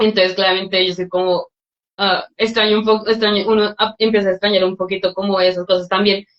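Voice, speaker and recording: At a very fast pace, a woman of medium pitch speaks in a monotone, flat way. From Colombia. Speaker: scholarship recipient, student. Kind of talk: webinar Q&A answers.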